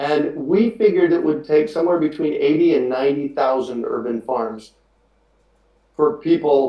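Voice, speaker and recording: Pitched fairly high, a man speaks with an American accent. He has a plain, everyday voice and keeps a moderate pace. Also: ordinary pitch variation. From US Southwest, Phoenix, Arizona. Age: 50s. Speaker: urban farmer and podcast host. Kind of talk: webinar interview. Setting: live webinar video call.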